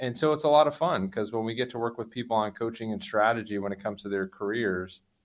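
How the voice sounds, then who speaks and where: A man with an American accent, fairly low pitch and a very fast pace. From New Jersey, US Northeast. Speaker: airline pilot and career coach. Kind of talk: podcast interview.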